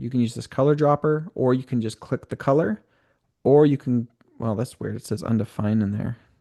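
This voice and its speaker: A man speaks in a dark, mellow tone at a fairly quick pace, with ordinary pitch variation. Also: quiet background. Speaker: software trainer. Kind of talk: live tutorial. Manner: casual, halting.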